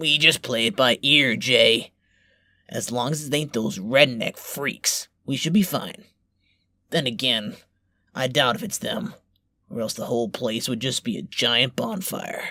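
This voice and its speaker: A man puts on a raspy character voice with a confident tone and medium pitch. He keeps a moderate pace with long, frequent pauses. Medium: audio drama. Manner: gruff, crude, confident.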